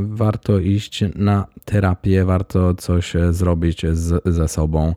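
A man's voice with a dark, mellow tone comes through on a very clean recording with a silent background. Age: 30s. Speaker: podcast host, style blogger. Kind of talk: solo podcast monologue.

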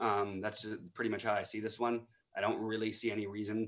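A man races through his words very fast over a quiet background. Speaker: fantasy sports analyst. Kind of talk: casual chat.

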